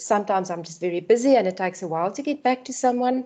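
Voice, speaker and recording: A woman with a non-native accent, a dark, mellow tone and lively intonation. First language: not English. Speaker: lecturer. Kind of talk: online orientation talk. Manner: animated.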